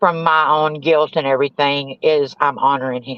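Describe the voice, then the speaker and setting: A woman with a Southern US accent talks at a moderate pace in a very deep, low pitch. Her intonation is a flat monotone, and the sound is dry and close with no echo. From US South. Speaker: recovering addict and grieving mother. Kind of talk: testimony.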